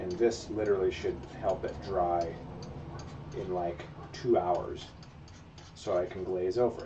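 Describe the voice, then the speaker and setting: A man keeps a moderate speed but breaks it with long, frequent pauses, noticeable background noise underneath. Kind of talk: casual livestream tutorial chat. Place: workshop.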